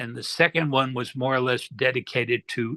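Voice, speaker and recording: Against a quiet background, a man with a medium pitch and a bright, sharp tone speaks at a moderate pace. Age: 70s. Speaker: retired hypnosis practitioner; interview guest. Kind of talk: casual chat. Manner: halting. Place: home room. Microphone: laptop with glitches; video call.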